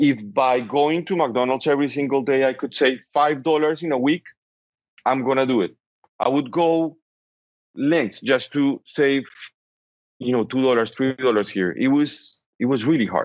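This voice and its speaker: A man with a strong Colombian accent speaks at a fairly high pitch and a moderate pace, with ordinary pitch variation. His loudness stays very even, broken by long, frequent pauses. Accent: Colombian Spanish accent, thick. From Colombia, Bogota. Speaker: entrepreneur. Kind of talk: interview.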